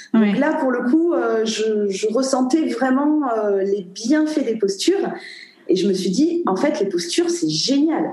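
A woman with a high voice speaks at a moderate pace, her pitch swinging very widely. Audible room echo and noticeable background noise surround her. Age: 30s. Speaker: yoga dance trainer and entrepreneur. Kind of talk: interview conversation.

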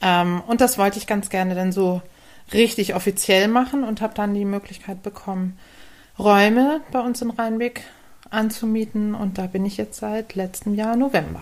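An ordinary speaking voice with fairly even intonation. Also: woman, medium pitch for a woman, moderate pace. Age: 40s. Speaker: physiotherapist for humans and dogs. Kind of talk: casual interview.

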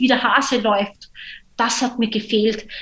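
This woman has an unremarkable speaking voice, fairly high in pitch and delivered at a fairly slow pace. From Austria. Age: 30s. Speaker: social entrepreneur. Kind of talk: podcast interview.

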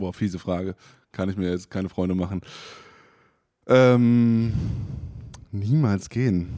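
Speaking at a fairly slow pace with long, frequent pauses, a man has a dark, mellow tone and a fairly low pitch with ordinary variation. The recording is very clean, with a silent background. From northern Germany, Oldenburg. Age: 20s. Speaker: startup executive. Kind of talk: podcast interview.

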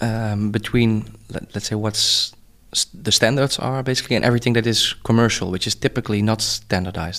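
In a very clean recording with a silent background, a man with a Dutch accent speaks at a fairly quick pace. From Netherlands. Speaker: tech company founder. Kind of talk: interview.

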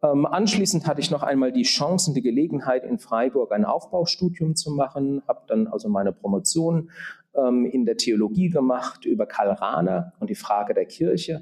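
At a moderate pace, a man speaks in a dark, mellow tone at a fairly high pitch, with very wide pitch swings and very even loudness. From Germany, southern Palatinate. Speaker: auxiliary bishop. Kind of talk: interview. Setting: conference room. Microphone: room echo.

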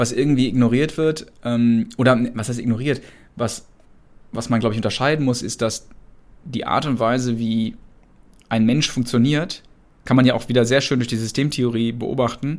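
Long, frequent pauses break up this man's moderate pace. His pitch is medium and his intonation fairly even. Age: 40s. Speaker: entrepreneur and management consultant. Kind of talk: interview.

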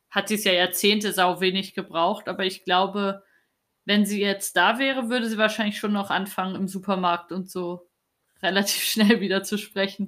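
Recorded very cleanly against a silent background, a woman speaks at a moderate pace in a medium pitch, her tone bright and sharp and her intonation flat and monotone. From East Germany. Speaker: podcast host, journalist. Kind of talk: interview conversation.

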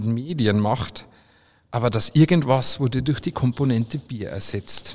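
This is an ordinary speaking voice. It moves at a moderate pace with lively intonation. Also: man. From Austria. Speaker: brewer and brand ambassador. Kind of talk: reading aloud; casual chat.

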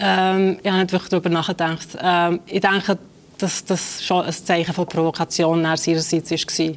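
Her loudness very even, a woman speaks at a moderate pace in a fairly low pitch with monotone, flat intonation. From Switzerland (born in Kosovo, raised in Switzerland from age five). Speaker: author and literary scholar. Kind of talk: interview. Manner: hesitant, many fillers.

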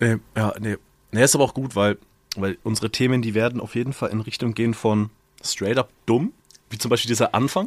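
A man has an ordinary speaking voice at a medium pitch. The sound is dry and close, with no echo. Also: fairly even intonation. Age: 20s. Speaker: podcast co-host. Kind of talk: casual chat.

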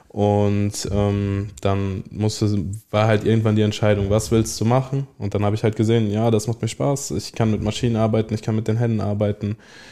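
A man speaks in a dark, mellow tone at a moderate pace. His intonation is fairly even and his loudness very even. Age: young. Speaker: trainee toolmaker. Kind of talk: interview. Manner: halting.

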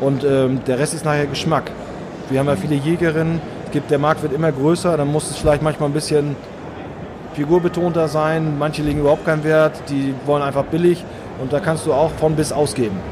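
This man speaks at a fairly quick pace with a fairly high pitch, fairly even intonation and long, frequent pauses. Noticeable background noise and audible room echo fill the recording. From northern Germany. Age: middle-aged. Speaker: hunter and hunting filmmaker, police officer. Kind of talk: interview.

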